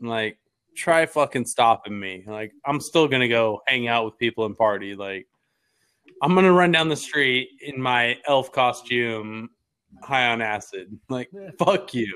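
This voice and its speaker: Using an unremarkable speaking voice, a man of medium pitch talks at a fairly slow pace with lively intonation. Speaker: podcast host. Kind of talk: casual banter. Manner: casual, rambling, profane.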